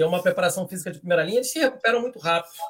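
This speaker is a man. His pitch is high. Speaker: football fan commentator. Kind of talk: casual chat.

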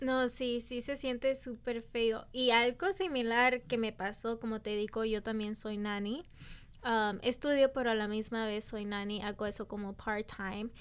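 A woman's plain, everyday voice, fairly high in pitch, at a fairly slow pace with fairly even intonation, in a very clean recording with a silent background. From Los Angeles (Echo Park), US. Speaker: podcast co-host. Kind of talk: casual chat.

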